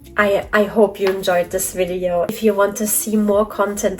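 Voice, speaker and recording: A woman's flat, monotone delivery at a moderate pace amid noticeable background noise. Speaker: toy collector vlogger. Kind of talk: casual vlog talk to camera. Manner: mumbling.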